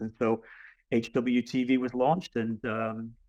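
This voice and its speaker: A man speaks with a slight English accent at a medium pitch, his intonation monotone and flat. The sound is dry and close with no echo, over a quiet background. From England. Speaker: athletic director. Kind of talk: webinar presentation.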